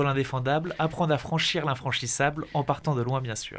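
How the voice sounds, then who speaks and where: Here is an unremarkable speaking voice, a man at a fairly high pitch. He moves at a moderate pace with fairly even intonation. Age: young. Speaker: radio producer. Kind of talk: scripted segment.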